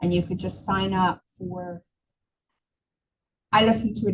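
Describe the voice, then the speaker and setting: Her voice somewhat breathy and dark, mellow in tone, a woman speaks at a medium pitch and a fairly slow pace. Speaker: real estate agent and trainer. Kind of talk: training class. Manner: conversational, many fillers.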